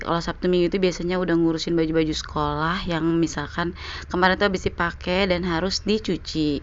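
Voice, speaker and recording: Talking very fast with hardly any pauses, a woman keeps a fairly low pitch, a monotone, flat intonation and very even loudness. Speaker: vlogger, housewife. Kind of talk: casual vlog narration. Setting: outdoors in a park.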